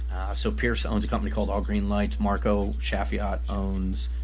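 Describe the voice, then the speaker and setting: With music in the background, a man speaks at a very deep, low pitch. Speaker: podcast host. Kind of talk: casual chat.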